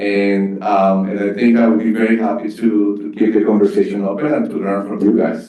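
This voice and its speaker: A man with a Spanish accent talks fairly quickly in a fairly low, dark and mellow voice, his intonation fairly even and his speech hardly broken by pauses. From Colombia. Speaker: material scientist, panelist. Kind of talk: panel discussion.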